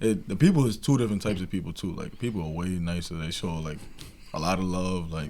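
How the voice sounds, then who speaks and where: With audible room echo, a man with an American accent speaks at a very fast pace in a very deep, low pitch, a dark, mellow tone and ordinary pitch variation. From New York, Long Island. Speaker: college basketball player. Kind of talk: casual interview.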